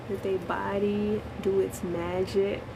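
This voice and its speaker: Soft-spoken and very slow, a woman talks at a medium pitch amid noticeable background noise and audible room echo. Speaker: spiritual livestreamer. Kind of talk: casual chat.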